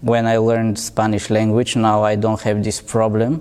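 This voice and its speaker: A man speaks with a Bulgarian accent at a medium pitch. His tone is dark and mellow. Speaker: interviewee, migrant. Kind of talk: interview answers. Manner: halting.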